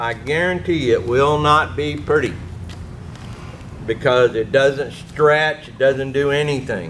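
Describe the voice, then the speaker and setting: A man with a fairly high pitch and ordinary pitch variation speaks at a fairly slow pace, taking long, frequent pauses. His loudness swings widely, and there is noticeable background noise. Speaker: technical manager. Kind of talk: tutorial.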